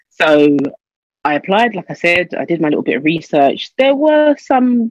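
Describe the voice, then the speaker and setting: A woman with a London accent, her intonation lively, in a dry, close sound with no echo. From London, England. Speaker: teacher. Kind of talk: interview.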